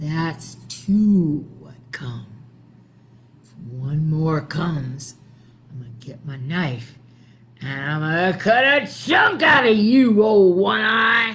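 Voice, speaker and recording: In a put-on character voice at middle pitch, the speaker projects loudly at a very slow pace, with audible echo around it. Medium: read story. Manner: drowsy, muttering to herself.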